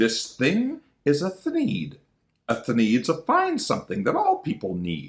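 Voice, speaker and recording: A man's put-on character voice, nasal and at a fairly slow pace. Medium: read story. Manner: glib, dismissive.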